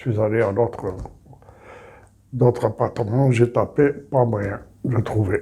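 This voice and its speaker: At a fairly slow pace, a man with a medium pitch and a dark, mellow tone speaks somewhat breathily with fairly even intonation. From Algeria, small town. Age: 70s. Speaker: retired immigrant telling life story. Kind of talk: personal testimony interview.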